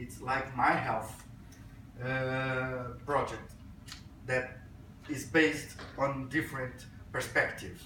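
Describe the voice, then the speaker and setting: A man in a Portuguese accent at a very slow pace, with audible room echo. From Brazil. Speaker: physician and health IT speaker. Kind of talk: conference talk. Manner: hesitant, with fillers.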